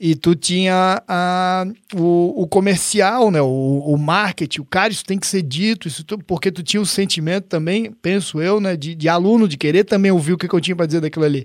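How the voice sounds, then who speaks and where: With hardly any pauses, a man speaks at a fairly quick pace in a high voice with ordinary pitch variation on a very clean recording with a silent background. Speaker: podcast host. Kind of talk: casual interview chat.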